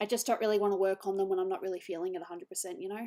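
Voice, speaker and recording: A woman's dark, mellow tone in an Australian accent. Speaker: digital artist streamer. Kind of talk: casual chat.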